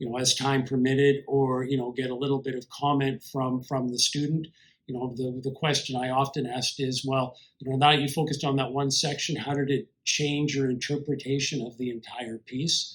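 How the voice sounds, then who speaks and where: A man with a Canadian accent speaks at a moderate pace and a medium pitch, his intonation monotone and flat. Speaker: composer and piano teacher. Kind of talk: lecture. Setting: online conference video. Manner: loud, strongly inflected stage voice; many fillers and repetitions.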